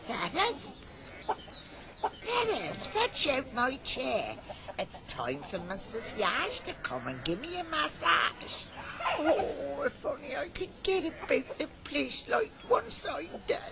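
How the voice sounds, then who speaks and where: Loud background noise surrounds a put-on character voice delivered at a fairly slow pace. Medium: audio drama. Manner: tart, scolding.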